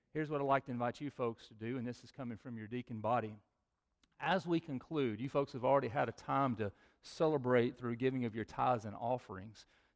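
Talking at a very fast pace, a man with a medium-pitched voice uses ordinary pitch variation while his loudness swings widely. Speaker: pastor. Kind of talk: sermon. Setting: church. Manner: animated.

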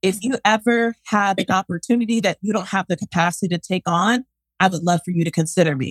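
Animated and very fast, a voice with an American accent shows ordinary pitch variation in a dry, close sound with no echo. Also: woman, medium pitch for a woman. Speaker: education business coach, former principal. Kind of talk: live-stream interview. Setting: empty room, livestream. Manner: loud.

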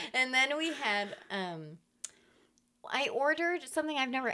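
In a raised, projected voice, a woman with a high pitch makes very wide pitch swings at a moderate pace, leaving long, frequent pauses. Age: 30s. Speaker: podcast co-host. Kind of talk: casual chat.

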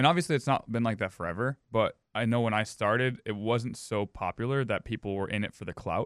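With an American accent and a plain, everyday voice, a man speaks at a medium pitch and a fairly quick pace, with ordinary pitch variation and hardly any pauses, recorded very cleanly against a silent background with a dry, close sound and no echo. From Minnesota, Edina. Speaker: powerlifting coach. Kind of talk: casual chat.

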